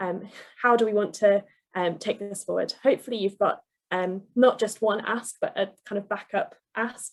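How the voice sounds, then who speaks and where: Fairly even intonation in a woman's voice of medium pitch. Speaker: campaigns trainer. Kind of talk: online workshop presentation. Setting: video call. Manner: fast; hesitant, many fillers.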